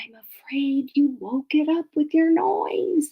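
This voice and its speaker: A woman puts on a high-pitched character voice. She talks at a fairly slow pace. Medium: read story. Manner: grumpy.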